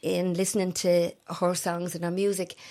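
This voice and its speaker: A woman at a medium pitch, talking at a fairly slow pace. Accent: Dublin. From Ireland, Tallaght, Dublin. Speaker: bereaved mother and campaigner. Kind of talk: interview testimony.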